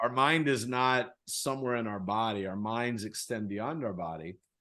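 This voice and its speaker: A man with a plain, everyday voice talks at a moderate pace and medium pitch against a quiet background. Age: 60s. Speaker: author and speaker on personal growth. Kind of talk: interview.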